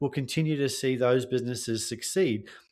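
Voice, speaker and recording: A man with an Australian accent talks at a medium pitch with ordinary pitch variation. The recording is very clean, with a silent background. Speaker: tech sales consultant. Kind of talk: podcast interview.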